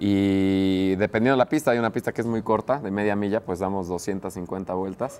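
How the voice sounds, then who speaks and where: Here is a man with a normal speaking voice. His pitch is fairly low and his intonation fairly even. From Mexico City. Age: 20s. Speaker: racing driver; guest. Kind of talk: casual interview. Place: studio. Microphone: lapel.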